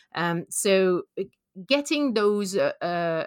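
A woman with a French accent, very slow in pace and lively in intonation, on a very clean recording with a silent background and a dry, close sound free of echo. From France. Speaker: conservation biologist. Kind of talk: interview.

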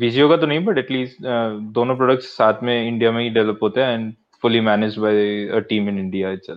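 Using an ordinary speaking voice, a man keeps a moderate speed. The pitch shows ordinary variation. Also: medium pitch for a man. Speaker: software developer. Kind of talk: casual chat.

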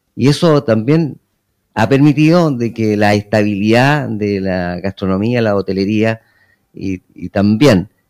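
A man's ordinary speaking voice at medium pitch and a fairly slow pace, with ordinary pitch variation, a dry, close sound with no echo, and a very clean recording with a silent background. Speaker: mayor. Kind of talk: radio interview. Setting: town hall.

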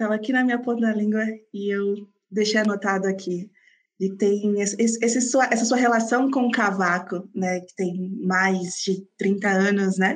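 A woman talks in a plain, everyday voice at a fairly slow pace. Her intonation stays fairly even. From Brazil, São Paulo ABC region. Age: 20s. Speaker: podcaster. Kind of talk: interview.

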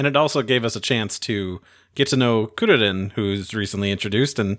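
On a very clean recording with a silent background, a man with an unremarkable speaking voice talks at a fairly quick pace with a medium pitch and ordinary pitch variation. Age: 30s. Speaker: podcast host. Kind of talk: casual chat.

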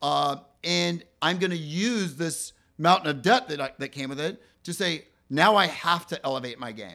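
On a very clean recording with a silent background, a man with a bright, sharp tone and vocal fry speaks at a moderate pace with lively intonation and big swings in loudness. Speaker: real estate team leader. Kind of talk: casual interview chat.

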